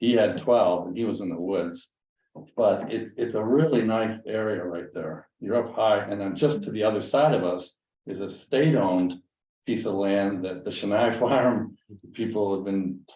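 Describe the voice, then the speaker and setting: A man's dark, mellow tone at a fairly low pitch, with ordinary pitch variation and a moderate pace. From western Massachusetts. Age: 70s. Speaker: landowner, retired dentist. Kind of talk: casual chat. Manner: halting.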